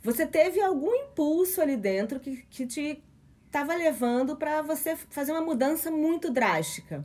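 A woman with a high pitch talks at a moderate pace with lively intonation. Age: 40s. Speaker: podcast host, sociologist. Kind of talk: casual chat.

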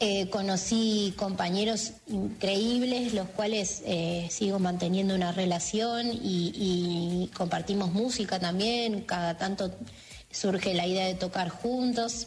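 Over noticeable background noise and audible room echo, a woman speaks very slowly at medium pitch. Her intonation is fairly even and her loudness very even. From Argentina, Mar del Plata. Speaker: pianist and arranger. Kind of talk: interview. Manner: hesitant, many fillers.

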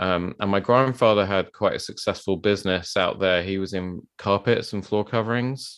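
A man in a London accent, fairly low in pitch, at a moderate pace with fairly even intonation, over a quiet background. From South London. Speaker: bespoke tailor and podcast host. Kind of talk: casual interview.

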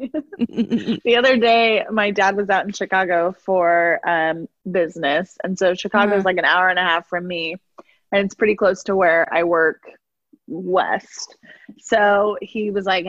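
A woman with a slight Midwestern accent at a fairly slow pace, dry and close with no echo, over a quiet background. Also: medium pitch for a woman, ordinary pitch variation. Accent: slight Midwestern accent, long A vowels. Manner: laughs often, animated storyteller.

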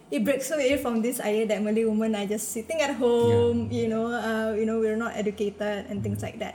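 Audible room echo and noticeable background noise fill the recording. A woman speaks at a fairly quick pace. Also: fairly high pitch for a woman, fairly even intonation, hardly any pauses. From Singapore. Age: 20s. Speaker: writer. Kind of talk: interview.

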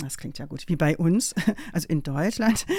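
A woman with a fairly low pitch, a dark, mellow tone and ordinary pitch variation is heard on a very clean recording with a silent background. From Germany, Münsterland (Rheine). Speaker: law professor. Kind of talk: interview.

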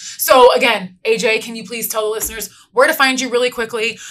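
A woman with an American accent, fairly high in pitch, talking at a fairly quick pace over noticeable background noise. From Inland Empire, Southern California. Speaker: podcast host. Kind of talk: casual chat.

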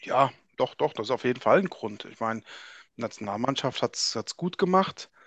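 A man with a plain, everyday voice and medium pitch speaks with big swings in loudness, in a dry, close sound with no echo and a quiet background. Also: lively intonation, moderate pace. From Frankfurt, Hesse, Germany. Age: 40s. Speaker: ice hockey journalist. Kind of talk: casual chat.

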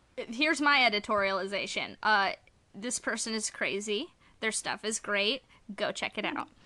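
A woman with a bright, sharp tone speaks at a fairly high pitch and moderate pace. Her pitch variation is ordinary, over a quiet background. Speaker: podcast host. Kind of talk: casual chat.

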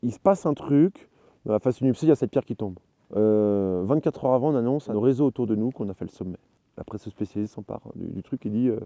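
Speaking fairly quickly, the man's intonation rises and falls in a lively way. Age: 30s. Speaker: mountaineer. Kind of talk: interview. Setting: outdoors. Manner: halting.

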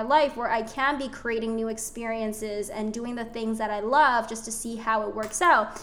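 Noticeable background noise sits behind a woman talking at a moderate pace. Her tone is animated. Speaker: spiritual life and business coach, podcast host. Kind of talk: casual monologue.

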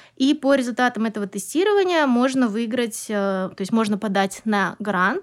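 A woman speaks at a moderate pace in a plain, everyday voice. Her pitch is fairly high, with ordinary variation. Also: very clean recording, silent background. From Kazakhstan, Almaty. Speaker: English teacher and business owner. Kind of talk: interview.

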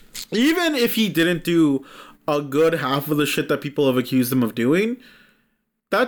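Speech at a moderate pace, captured on a very clean recording with a silent background. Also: man. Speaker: podcast co-host. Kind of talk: casual chat. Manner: animated.

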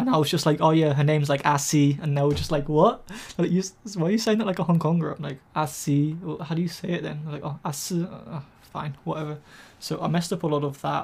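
Speaking very fast with an English accent, a man uses a fairly high pitch and ordinary pitch variation. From England. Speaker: YouTuber and language learner. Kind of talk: casual chat. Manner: animated.

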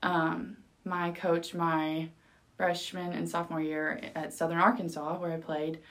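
Her very deep, low voice carries a fairly even intonation as this woman speaks at a fairly slow pace. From California Central Valley. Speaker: volleyball coach. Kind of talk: interview.

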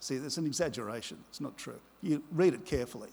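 A man speaks with an Australian accent. His pace is fairly quick and his pitch varies in an ordinary way. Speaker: pastor. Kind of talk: sermon. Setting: church.

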